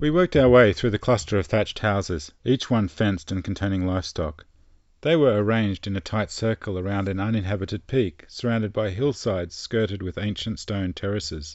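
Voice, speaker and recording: Speaking at a fairly quick pace, a man with an Australian accent uses a fairly low pitch. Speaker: travel storyteller. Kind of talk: scripted narration.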